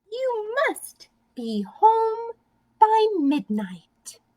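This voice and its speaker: This woman uses a put-on character voice. It is squeaky and extremely high in pitch. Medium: read story.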